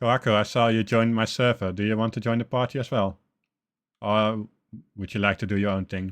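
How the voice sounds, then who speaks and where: A man with a fairly low pitch talks at a fairly quick pace in a monotone, flat delivery. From Netherlands. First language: Dutch. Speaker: gaming streamer and tutorial creator. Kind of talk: live game stream chat. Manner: casual, chatty with fillers.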